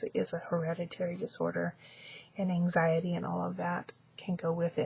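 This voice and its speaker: A soft-spoken woman talks at a moderate pace. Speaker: vlogger. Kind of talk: casual video diary. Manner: halting, many fillers.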